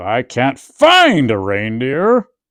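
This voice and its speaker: Over a very clean recording with a silent background, a man does a growling put-on character voice at a medium pitch. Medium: read story. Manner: snarling, sneering.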